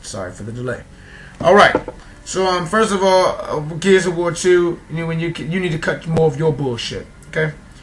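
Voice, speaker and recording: Fairly quick speech from a man with a New York accent. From New York City. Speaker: gaming vlogger. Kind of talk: casual rant. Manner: fast.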